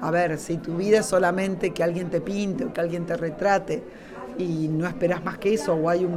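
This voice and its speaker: A woman speaks with fairly low pitch and fairly even intonation. Audible room echo and noticeable background noise are present. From Argentina. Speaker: writer and workshop leader. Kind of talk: interview at a book fair. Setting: live radio booth at a book fair.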